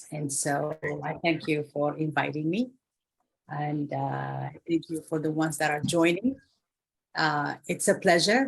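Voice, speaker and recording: Here a woman speaks with a very deep, low pitch and vocal fry. Her intonation is fairly even. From Africa. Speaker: guest speaker, NGO leader. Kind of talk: online talk / career advice.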